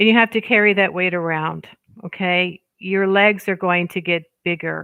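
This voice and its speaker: A woman speaks at a moderate pace in a medium pitch, her intonation fairly even. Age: 60s. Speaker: witchcraft content creator. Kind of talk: livestream casual chat. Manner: halting, with many fillers. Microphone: headset on a new Chromebook.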